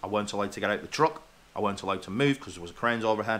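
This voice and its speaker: A man's fairly low, bright and sharp voice in an English accent. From England. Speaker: truck driver vlogger. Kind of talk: casual rant to camera. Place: home room. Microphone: webcam.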